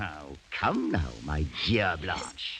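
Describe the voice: A man puts on a character voice, pitched low for a man, with a bright, sharp tone, big pitch swings and a very slow pace.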